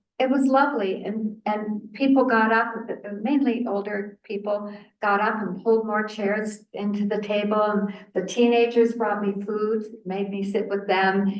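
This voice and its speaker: A woman talks in a monotone, flat intonation at a fairly slow pace. Audible room echo surrounds her voice. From Canada, southern Ontario. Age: 80s+. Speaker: researcher and author. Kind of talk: lecture. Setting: seated presentation with audience. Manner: conversational, with false starts.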